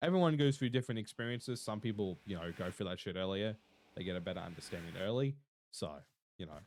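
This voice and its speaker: Very fast speech with lively intonation. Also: man, fairly low pitch for a man. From Australia. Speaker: streamer. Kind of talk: casual chat. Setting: live stream.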